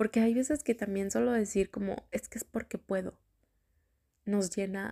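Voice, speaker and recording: Somewhat breathy and dark, mellow in tone, a woman's fairly high voice moves at a fairly slow pace in a dry, close sound with no echo. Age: 30s. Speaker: podcast host. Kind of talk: personal reflective monologue. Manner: casual, filler-heavy.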